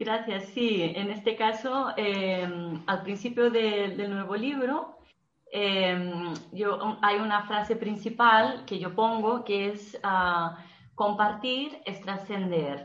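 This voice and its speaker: Her pace is very slow. The woman's pitch varies in an ordinary way, and audible room echo is present. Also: medium pitch for a woman. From Brazil. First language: Portuguese (speaking Spanish). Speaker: marketing and PR professional, author. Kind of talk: interview. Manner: halting, with frequent repetitions.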